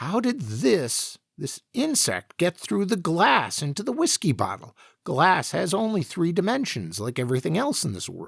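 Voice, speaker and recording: A man's put-on character voice, high-pitched, with very wide pitch swings at a moderate pace. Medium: read story. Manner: bewildered, exclamatory.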